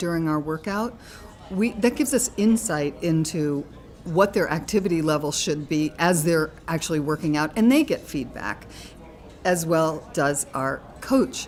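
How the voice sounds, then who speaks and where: Music plays in the background as a woman speaks. Her voice is fairly low, with lively intonation. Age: 60s. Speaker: fitness studio owner. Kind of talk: casual chat.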